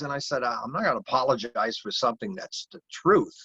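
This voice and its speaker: An American accent, with a dry, close sound and no echo. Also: man. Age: 60s. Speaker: heathen priest and recovery program leader. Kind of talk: interview talk. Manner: halting, many fillers.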